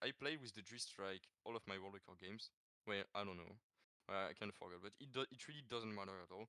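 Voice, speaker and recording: A man's bright, sharp voice with a French accent, fairly low in pitch, ordinary pitch variation, and a dry, close sound with no echo. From France. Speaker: gaming world record holder. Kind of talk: podcast interview. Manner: halting, many fillers and repeats.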